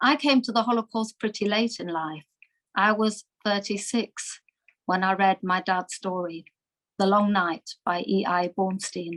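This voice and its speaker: Speaking at a fairly slow pace with a slight German accent, a woman uses medium pitch and ordinary pitch variation in a dry, close sound with no echo. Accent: slight German twang. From Germany (Munich, Bavaria). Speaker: Holocaust survivors' daughter, speaker. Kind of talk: talk to webinar audience. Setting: video call webinar.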